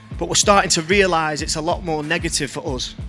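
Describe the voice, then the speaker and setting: Over music in the background, a man speaks with a monotone, flat intonation. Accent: northern English. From Blackpool, northern England. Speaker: spoken word artist. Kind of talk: spoken word poetry performance.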